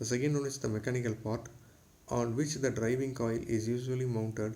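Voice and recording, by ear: A man's medium-pitched voice, dark and mellow in tone, at a moderate pace with little pitch movement and audible room echo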